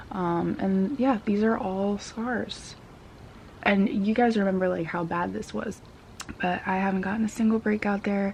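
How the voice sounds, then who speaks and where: A woman speaks quietly at a medium pitch. Her pace is fairly slow and her intonation fairly even. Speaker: beauty vlogger. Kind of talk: casual product review vlog. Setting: at home. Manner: talking quietly; casual, filler-heavy.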